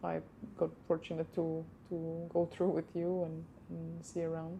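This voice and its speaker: A woman is speaking. She has a non-native accent. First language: not English. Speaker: movement practitioner. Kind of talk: casual chat.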